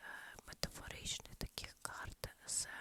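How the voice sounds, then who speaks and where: A woman is whispering. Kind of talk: ASMR whisper chat. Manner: whispered, soft-spoken.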